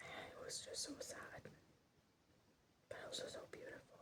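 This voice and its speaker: Someone is whispering. The pace is fairly slow. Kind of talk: ASMR rant, whispered ramble about a TV series. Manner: whispered.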